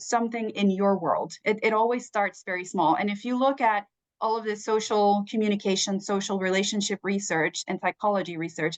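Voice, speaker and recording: Against a quiet background, a woman with a Spanish accent speaks at a moderate pace with ordinary pitch variation. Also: dry, close sound with no echo. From Puerto Rico. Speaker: communications professional, panelist. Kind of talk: panel discussion answer.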